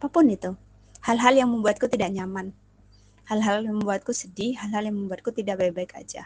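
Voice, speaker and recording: A woman talks at a fairly quick pace with a fairly high, somewhat breathy voice. Her loudness swings widely while her pitch varies in an ordinary way. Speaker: podcast host. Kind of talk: personal monologue. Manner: fast.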